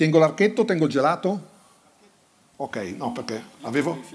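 This man's intonation is lively, and his voice sits fairly high in pitch. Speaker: sports journalist and book author; sports journalist. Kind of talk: book presentation on stage.

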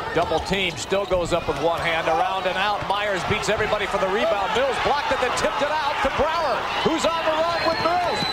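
Loud background noise surrounds a man talking at a fairly quick pace with hardly any pauses. The sound is dry with no echo. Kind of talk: live sports commentary. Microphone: headset.

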